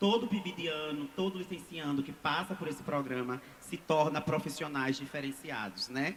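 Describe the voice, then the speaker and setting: The speaker talks at a moderate pace with ordinary pitch variation and hardly any pauses. Noticeable background noise runs underneath. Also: man, fairly high pitch for a man. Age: 30s. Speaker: schoolteacher speaking from the audience. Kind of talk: public audience statement. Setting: public hearing, audience microphone.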